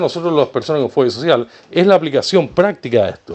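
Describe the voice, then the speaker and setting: A man speaks at a high pitch. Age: 60s. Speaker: video blogger with social phobia. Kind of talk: personal opinion monologue. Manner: repetitive, halting.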